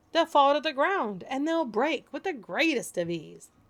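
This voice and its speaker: Using a put-on character voice, the speaker delivers lines at a moderate pace. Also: woman, high pitch for a woman. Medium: read story. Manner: breezy, overconfident.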